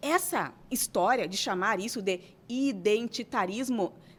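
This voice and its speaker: The recording is very clean, with a silent background. In it, a female speaker has an animated tone and lively intonation. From southern Brazil, Santana do Livramento. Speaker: writer. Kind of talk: interview. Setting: studio.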